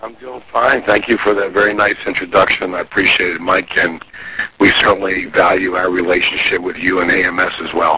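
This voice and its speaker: A man's very deep, low voice, fairly quick and fairly even in intonation, over noticeable background noise. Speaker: business owner and marketing expert. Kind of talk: teleseminar interview.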